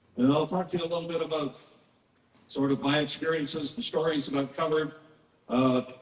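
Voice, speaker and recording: Noticeable background noise sits under a man with a fairly high pitch who talks at a fairly quick pace with long, frequent pauses. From southern Saskatchewan. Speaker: media commentator and guest speaker. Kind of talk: public presentation. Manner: animated.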